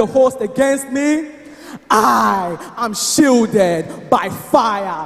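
Music plays in the background. A man speaks with lively intonation. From Nigeria. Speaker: spoken word poet. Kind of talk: spoken word poetry performance at church service. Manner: declamatory, emphatic. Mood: fervent, triumphant faith. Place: church. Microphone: handheld.

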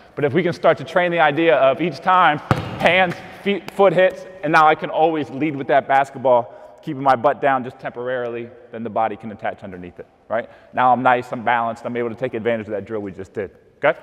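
A man talks at a very fast pace, his loudness swinging widely. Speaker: basketball coach. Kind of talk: tutorial. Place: gym.

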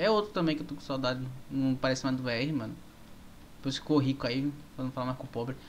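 Over light background noise, a man talks fairly quickly in a fairly high voice. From Brazil. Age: 20s. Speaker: gaming streamer. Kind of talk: live gameplay stream chat. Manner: animated. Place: home room.

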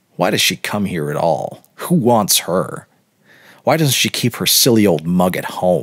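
Putting on a character voice, a man speaks low with a slightly husky edge and big pitch swings. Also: fairly slow pace.

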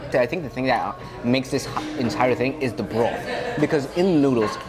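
With clear music playing behind him, a man speaks at a fairly quick pace. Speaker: food show host. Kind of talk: casual food vlog chat. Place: cafe. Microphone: lapel.

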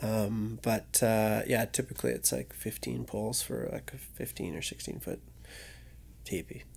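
With a Western Canadian accent, a man speaks at a fairly slow pace. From Vernon, British Columbia, Canada. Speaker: adventure photographer. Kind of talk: casual chat. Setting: studio.

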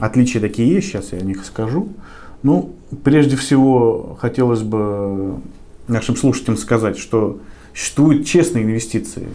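Here a man speaks in a dark, mellow tone with lively intonation. He moves at a fairly slow pace with long, frequent pauses. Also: medium pitch for a man. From Volgograd, southern Russia; Russia. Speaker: lawyer. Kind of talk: interview. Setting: office. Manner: halting, with fillers. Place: meeting room. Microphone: camera far.

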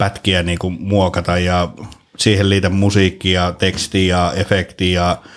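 A man talks in a very deep, low pitch. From Finland. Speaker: podcast host and actor; podcast guest. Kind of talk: casual chat. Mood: relaxed, jokey. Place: studio. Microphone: studio mic.

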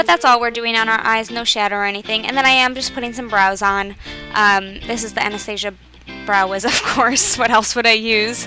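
Clear music plays behind a woman who talks at a fairly quick pace with fairly even intonation. The sound is dry, with no echo. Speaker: beauty vlogger. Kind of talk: tutorial. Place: home room. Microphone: webcam.

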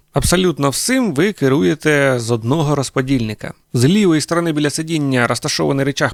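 A man with a plain, everyday voice talks at a fairly quick pace with lively intonation, the sound dry and close with no echo. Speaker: tractor reviewer. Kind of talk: product review video. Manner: informal, conversational.

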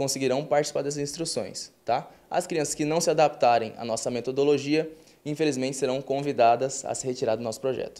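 A man talks with fairly even intonation. His pace is fairly quick. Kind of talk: interview answer. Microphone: handheld.

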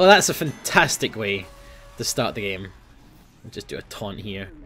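Speaking at a moderate pace, a man with a Scottish accent uses very wide pitch swings. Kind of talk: gaming commentary. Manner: casual, chatty.

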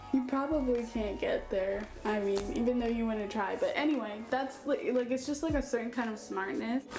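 Faint music plays behind a woman who speaks at a moderate pace in a high voice with ordinary pitch variation. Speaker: vlogger. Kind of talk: casual vlog chat. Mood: relaxed, giggly, rambling. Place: home room. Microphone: camera far.

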